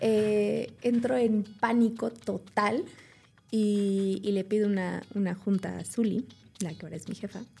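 A woman's medium-pitched voice, a normal speaking voice, with fairly even intonation and big swings in loudness. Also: fairly slow pace. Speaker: food engineer and nutrition communicator. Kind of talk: interview.

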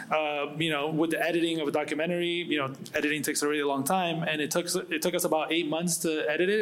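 A fairly high-pitched man talking at a fairly quick pace amid noticeable background noise. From Venezuela. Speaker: photographer and artist. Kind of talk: panel discussion.

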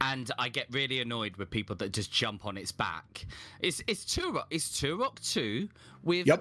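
A fairly slow delivery with a Southern English accent. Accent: southern English, slight rural. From Hampshire, England. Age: 30s. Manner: loud, animated.

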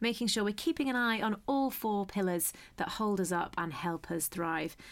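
Very wide pitch swings from a woman speaking at medium pitch and a moderate pace. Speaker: podcast host. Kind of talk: interview conversation.

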